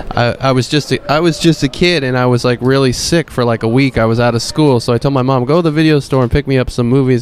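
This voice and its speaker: Noticeable background noise behind a man at medium pitch, with ordinary pitch variation. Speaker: YouTube producer. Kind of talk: casual chat.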